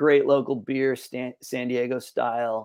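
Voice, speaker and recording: In a plain, everyday voice, a man speaks fairly slowly at a medium pitch with fairly even intonation. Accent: American. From Northern California. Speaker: podcast guest, musician. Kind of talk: casual interview chat.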